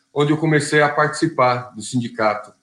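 Using an ordinary speaking voice, a man with a fairly high pitch speaks at a moderate pace with ordinary pitch variation. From Brazil, São Bernardo do Campo (São Paulo ABC region). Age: 40s. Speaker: union leader and auto assembly worker. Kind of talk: interview.

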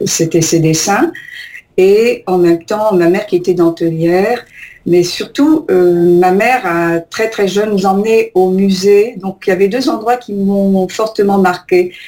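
A woman speaks very slowly at a medium pitch, with ordinary variation in her pitch. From Algeria. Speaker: painter. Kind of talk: radio interview. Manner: halting.

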